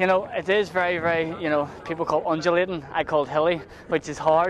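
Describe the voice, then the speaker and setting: With a Northern Irish accent, a man speaks fairly quickly at a high pitch and with fairly even intonation, noticeable background noise behind him. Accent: Northern Irish (Belfast). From Northern Ireland, Belfast. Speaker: ultramarathon runner. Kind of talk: post-race interview.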